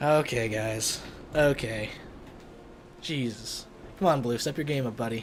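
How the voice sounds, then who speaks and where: This man has a medium pitch, ordinary pitch variation and an animated tone, speaking at a fairly slow pace. Long, frequent pauses break up his speech, and there is noticeable background noise. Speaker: esports shoutcaster. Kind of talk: live commentary. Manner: casual, animated.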